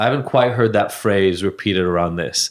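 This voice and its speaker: Here a man talks at a moderate pace with a fairly low pitch. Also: very clean recording, silent background. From Israel, moved to US at 14. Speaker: podcast host. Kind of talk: casual conversation. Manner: animated.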